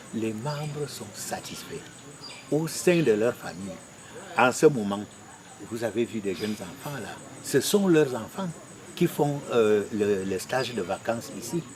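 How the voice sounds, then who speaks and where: Over noticeable background noise, a man with a medium pitch speaks at a very slow pace with long, frequent pauses, lively intonation and big swings in loudness. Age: 60s. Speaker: farmer group delegate. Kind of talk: interview.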